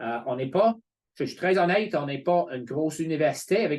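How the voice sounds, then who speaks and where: A man with an English accent and ordinary pitch variation against a quiet background. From England. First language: English (speaking French). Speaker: college representative. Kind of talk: informational webinar presentation. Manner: hesitant, many fillers.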